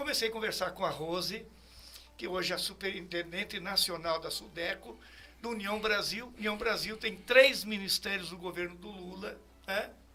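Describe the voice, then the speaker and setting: Music plays in the background as a man with a high pitch talks at a moderate pace in a raised, projected voice with ordinary pitch variation. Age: 70s. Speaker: politician. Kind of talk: interview.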